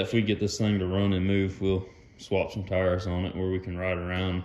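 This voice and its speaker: The room echo is audible around this man's voice. He talks at a moderate pace. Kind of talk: casual vlog chat. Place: garage. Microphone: phone near.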